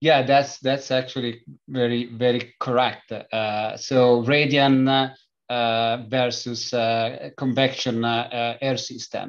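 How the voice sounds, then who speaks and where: Speaking very slowly in a flat monotone, a man with an Italian accent holds a medium pitch. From Italy. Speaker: company founder and engineer. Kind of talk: interview. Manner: halting, many fillers.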